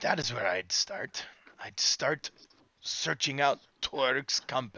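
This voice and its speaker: A man speaks in a put-on character voice at a fairly slow pace. His voice is raspy and fairly high-pitched. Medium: actual play.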